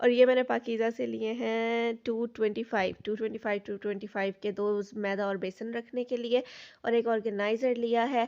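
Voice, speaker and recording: A woman speaks in a fairly high voice at a fairly slow pace with hardly any pauses. Her intonation is flat and monotone against a quiet background. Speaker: vlogger. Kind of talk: casual vlog narration.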